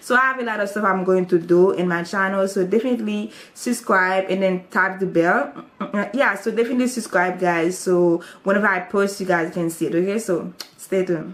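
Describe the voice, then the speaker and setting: There is noticeable background noise as a woman speaks at a fairly quick pace. She has a Haitian accent and a medium pitch. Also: ordinary pitch variation. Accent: Haitian Creole-accented English. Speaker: YouTuber. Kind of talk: testimony. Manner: casual, hesitant.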